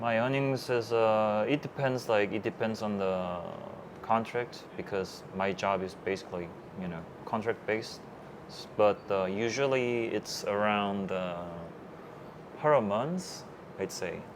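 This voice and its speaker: A man with a Korean accent, fairly low in pitch with ordinary pitch variation, at a fairly slow pace with long, frequent pauses. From South Korea. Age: 30s. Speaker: web developer, digital nomad. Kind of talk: interview. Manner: halting, many fillers.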